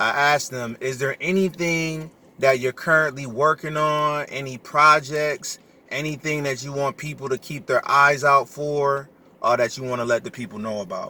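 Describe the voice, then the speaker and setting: Bright and sharp in tone, a man's fairly high pitch moves with ordinary variation at a moderate pace. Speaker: podcast host. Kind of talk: interview. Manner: loud.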